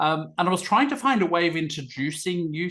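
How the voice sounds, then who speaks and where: A man speaks with an Australian accent in a bright, sharp, enthusiastic tone. The background is quiet. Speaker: event host and communications consultant. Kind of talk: online event facilitation.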